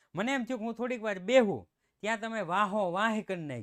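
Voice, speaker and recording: This man puts on a character voice, pitched high and sing-song. He keeps a moderate pace. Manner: sing-song regional lilt.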